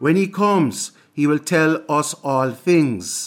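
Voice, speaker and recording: This is a man with an ordinary speaking voice, pitched fairly high. He talks at a fairly slow pace with ordinary pitch variation on a very clean recording with a silent background. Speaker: preacher. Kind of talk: scripture reading. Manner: measured, reverent.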